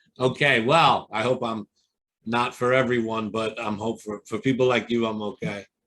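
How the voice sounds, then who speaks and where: A man speaks at a moderate pace with a Brooklyn accent, his medium-pitched voice carrying a bright, sharp tone. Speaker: exam prep coach. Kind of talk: interview. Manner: animated.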